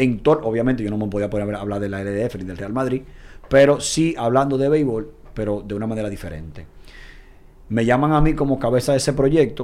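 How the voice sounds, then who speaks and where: Medium pitch and ordinary pitch variation from a man, a normal speaking voice. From Dominican Republic. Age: 30s. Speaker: football commentator. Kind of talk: casual chat.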